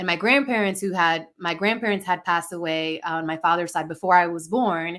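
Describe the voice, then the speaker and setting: A woman with a Spanish accent talks at a fairly quick pace with ordinary pitch variation, in a very clean recording with a silent background. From Dominican-American. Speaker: life coach, podcast guest. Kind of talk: personal storytelling interview. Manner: conversational, filler-heavy.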